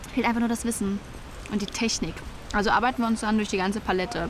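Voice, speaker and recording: Noticeable background noise surrounds a woman whose fairly even intonation comes through dry, with no echo. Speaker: fictional interview character. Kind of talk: interview answer, comedic monologue. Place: garden. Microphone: lapel.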